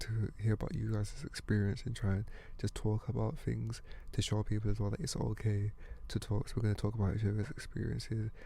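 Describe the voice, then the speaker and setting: A man with a British accent at a moderate pace. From UK, African heritage. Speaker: podcast host and musician. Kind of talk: casual monologue. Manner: casual, hesitant.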